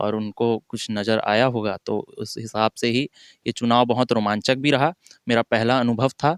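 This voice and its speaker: In a dry, close recording with no echo, a man speaks in a flat monotone. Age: 20s. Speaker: newly elected local politician. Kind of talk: interview. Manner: halting, with filler sounds.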